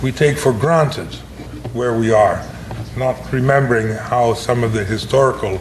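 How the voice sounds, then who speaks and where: A man talks at a moderate pace and medium pitch. Noticeable background noise and audible room echo fill the recording. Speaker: professor. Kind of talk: lecture. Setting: breakfast lecture to an audience. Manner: hesitant, with many fillers and restarts.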